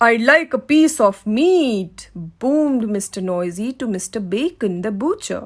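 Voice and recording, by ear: The intonation is lively. It's reading aloud in a natural voice.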